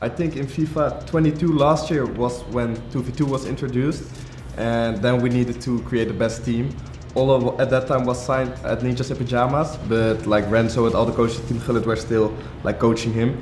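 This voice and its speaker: There is audible room echo and noticeable background noise as a man speaks at a fairly quick pace. His medium-pitched voice keeps a fairly even intonation. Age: young. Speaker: esports player. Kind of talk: recorded interview.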